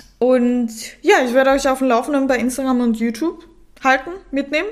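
A woman talks at a moderate pace with a high-pitched voice. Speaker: fitness coach and podcaster. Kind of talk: casual solo podcast talk. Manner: casual, chatty.

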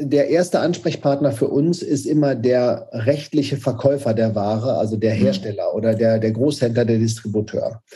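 A man speaks at a medium pitch in a dark, mellow, somewhat breathy tone. His pace is moderate with hardly any pauses, very even loudness and ordinary pitch variation. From Germany, Paderborn (Westphalia). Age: 40s. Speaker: startup founder. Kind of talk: interview. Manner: hesitant, many fillers.

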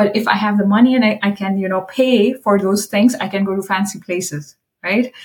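A woman speaks at a fairly quick pace. Her voice is somewhat breathy, and her intonation stays fairly even. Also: medium pitch for a woman. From India. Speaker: corporate sustainability executive. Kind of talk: interview.

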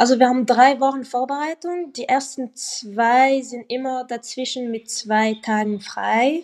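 A woman's high-pitched voice comes through over a quiet background. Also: ordinary pitch variation, fairly slow pace, hardly any pauses. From French-speaking Switzerland. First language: French (speaking German). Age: young. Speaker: professional footballer. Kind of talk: casual interview.

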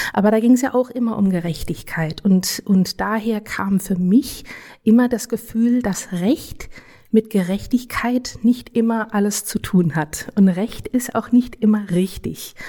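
Somewhat breathy, dark, mellow tone from a woman with a fairly high pitch. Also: ordinary pitch variation, fairly slow pace. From Germany. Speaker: legal scholar. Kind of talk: interview. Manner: halting.

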